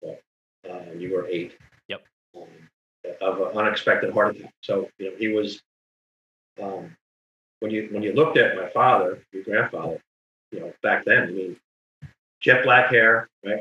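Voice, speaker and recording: With a New Jersey accent, a man speaks at a moderate pace, with big swings in loudness and long, frequent pauses. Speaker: title insurance lawyer. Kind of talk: casual chat.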